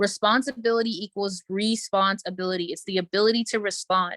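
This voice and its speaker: A woman's medium-pitched voice at a very fast pace, with a dry, close sound and no echo. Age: 20s. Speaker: business coach. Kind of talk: motivational talk; webinar sales pitch. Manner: animated.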